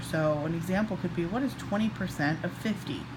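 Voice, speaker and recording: Quiet but with lively intonation, a woman speaks at a moderate pace amid noticeable background noise and audible room echo. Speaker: math teacher. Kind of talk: tutorial. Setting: at home, child sleeping nearby. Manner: quiet, kept low.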